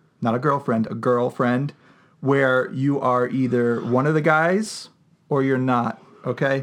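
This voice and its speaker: Speaking at a fairly slow pace, a man uses a normal speaking voice with a medium pitch. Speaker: podcast co-host. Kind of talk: casual chat, podcast banter. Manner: joking, sarcastic.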